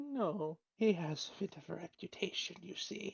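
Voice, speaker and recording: A female-sounding put-on character voice speaks at a medium pitch and a moderate pace. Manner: gossipy, lowered voice.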